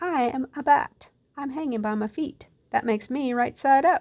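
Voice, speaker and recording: A loud, high-pitched put-on character voice from a woman, at a moderate pace. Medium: read story. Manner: blunt, matter-of-fact.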